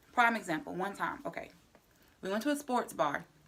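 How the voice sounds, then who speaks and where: A woman's voice is loud and animated, with a fairly high pitch and very wide pitch swings. The recording is very clean, with a silent background. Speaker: vlogger. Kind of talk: casual vlog monologue.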